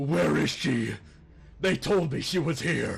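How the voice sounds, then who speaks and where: Putting on a raspy character voice, a man speaks at a fairly slow pace and fairly high pitch with very wide pitch swings. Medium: actual play. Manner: menacing.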